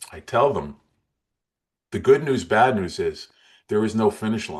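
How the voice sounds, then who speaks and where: A man's medium-pitched voice at a moderate pace, a plain, everyday voice with lively intonation and big swings in loudness. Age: 60s. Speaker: motivational speaker and weight loss coach. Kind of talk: interview.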